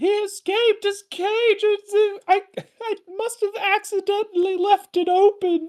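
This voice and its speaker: A put-on character voice with an extremely high pitch at a moderate pace. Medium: actual play. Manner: fluttery, scatterbrained.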